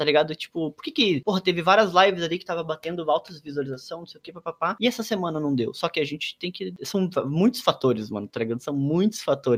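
A man speaks at a very fast pace in a dry, close recording with no echo. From Brazil, countryside. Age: 20s. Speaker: streamer and artist. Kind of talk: casual chat.

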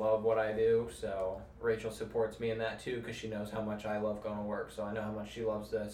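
Over noticeable background noise, a man at medium pitch speaks at a fairly quick pace. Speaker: firefighter. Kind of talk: casual chat. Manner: quiet; flat, little expression.

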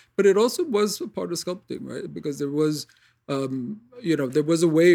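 The man's tone is dark and mellow. He speaks with a New York accent. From New York City, Queens. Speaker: acupuncturist. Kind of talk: casual chat.

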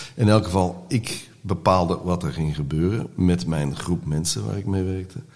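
Speaking at a moderate pace with hardly any pauses, a man uses a very deep, low pitch with ordinary pitch variation. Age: 60s. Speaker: artist and actor in recovery. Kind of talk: podcast interview. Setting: studio.

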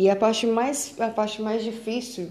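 At a fairly slow pace, a woman with a Minas Gerais accent speaks in a dark, mellow tone, with audible room echo. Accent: Brazilian Portuguese, Minas Gerais. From Brazil, Belo Horizonte. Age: 20s. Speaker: podcaster. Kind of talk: personal monologue. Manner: halting.

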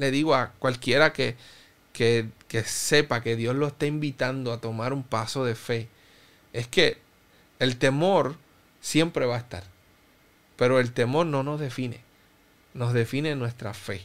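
At a fairly slow pace, a man talks in a medium pitch with ordinary pitch variation and long, frequent pauses. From Cuba. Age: 30s. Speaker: pastor. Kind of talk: interview testimony.

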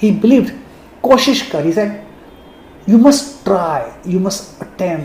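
The speaker has a Sindhi accent and a moderate pace. Noticeable background noise is present. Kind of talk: personal tribute monologue.

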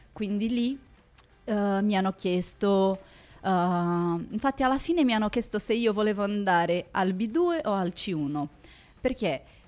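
A woman talks at a medium pitch and a very slow pace, her intonation lively and her loudness very even. The recording is very clean, with a silent background. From Brazil. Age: 30s. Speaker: lawyer and language student. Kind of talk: casual interview. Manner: halting, many fillers.

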